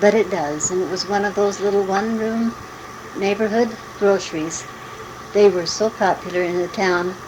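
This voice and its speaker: The speaker has an American accent and fairly even intonation. Background noise is noticeable. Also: woman, medium pitch for a woman, moderate pace. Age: 60s. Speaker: mother recording family memories. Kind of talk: oral history reminiscence. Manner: halting.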